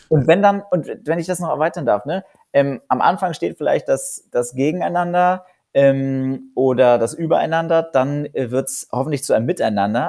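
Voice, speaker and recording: A man with a fairly high, dark and mellow voice speaks at a fairly quick pace with lively intonation in a very clean recording with a silent background. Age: 20s. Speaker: founder of a youth-executive mentoring network. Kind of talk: interview. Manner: many filler sounds (äh, ähm).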